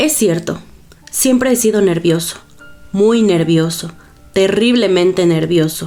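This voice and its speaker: A woman speaks at a fairly slow pace and a medium pitch, with ordinary pitch variation and music playing in the background. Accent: Latin American. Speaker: audiobook narrator. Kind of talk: audiobook reading of a classic horror story.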